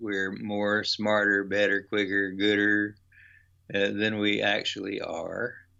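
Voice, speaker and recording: A man with an American accent speaks at a fairly slow pace and a fairly low pitch. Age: 70s. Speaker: author and workshop leader. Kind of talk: interview.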